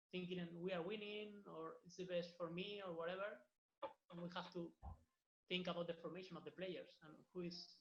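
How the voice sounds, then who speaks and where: A man with a Spanish accent speaks in a high pitch. His intonation is monotone and flat. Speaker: football academy coach. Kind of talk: online workshop wrap-up. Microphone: audio problems.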